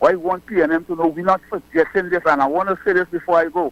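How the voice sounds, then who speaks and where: In a Trinidadian accent, a man speaks at a very fast pace with a high pitch. The sound is dry and close, with no echo. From Trinidad and Tobago. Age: 60s. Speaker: caller. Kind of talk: political call-in. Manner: animated.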